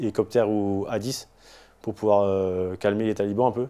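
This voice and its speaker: A man with a fairly low pitch and a dark, mellow tone. His intonation is monotone and flat. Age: 40s. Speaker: war veteran. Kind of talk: testimony. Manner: halting.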